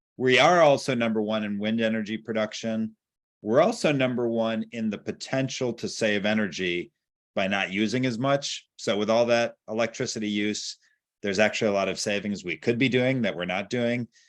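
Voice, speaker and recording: A man talks at a moderate pace in a plain, everyday voice with ordinary pitch variation against a quiet background. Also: medium pitch for a man. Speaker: environmental policy director. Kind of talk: presentation on video call.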